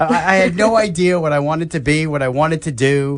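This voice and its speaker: Here is a man with an American accent and a plain, everyday voice. He talks at a fairly high pitch and a fairly quick pace. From New York. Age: 60s. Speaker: health talk show host. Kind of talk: casual radio chat.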